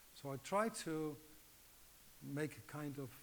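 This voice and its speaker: This man speaks with a Dutch accent. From Netherlands. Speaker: acupuncture teacher. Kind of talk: lecture. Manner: halting.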